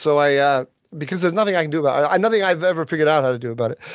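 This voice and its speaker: Very fast speech from a man with an American accent. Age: 60s. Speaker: podcast co-host, policy analyst. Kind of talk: casual chat. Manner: halting, many ums and restarts.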